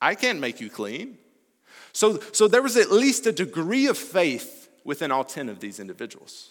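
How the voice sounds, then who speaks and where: The voice has very wide pitch swings at a moderate pace. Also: man. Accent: American. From US South, Alabama. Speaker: missionary preacher. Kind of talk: sermon.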